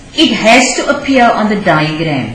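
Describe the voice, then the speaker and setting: Amid noticeable background noise and audible room echo, a woman speaks at a fairly slow pace with a fairly high pitch and lively intonation. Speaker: teacher. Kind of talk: lecture. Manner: halting, many fillers.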